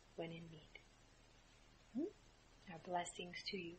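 A woman's somewhat breathy, medium-pitched voice with a soothing, gentle tone. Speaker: spiritual channeler and meditation guide. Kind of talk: guided meditation, channeled spiritual message. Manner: slow, soothing, gentle, with long pauses and soft 'mm' hums; calm, warm, reassuring, addressing listeners as 'dear ones'.

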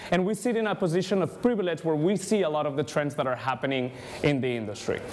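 Over light background noise, a man with a Spanish accent talks in a fairly high voice that swings very widely in pitch. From Spain. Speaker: ad tech industry speaker. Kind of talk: conference talk. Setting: stage with audience. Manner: animated. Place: hall.

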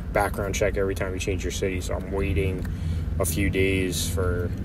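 Noticeable background noise behind a man's voice, the sound dry and free of echo. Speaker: van dweller vlogger. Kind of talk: casual vlog chat. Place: car. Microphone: phone near.

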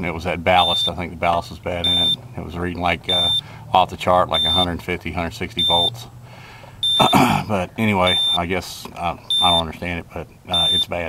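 The speaker keeps a moderate pace while loud background noise fills the recording. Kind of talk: tutorial. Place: street.

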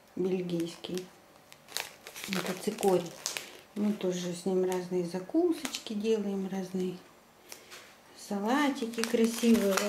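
A woman talks at a very slow pace with long, frequent pauses, over noticeable background noise. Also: ordinary pitch variation. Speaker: home vlogger. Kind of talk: casual vlog chat. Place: home room. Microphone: phone near.

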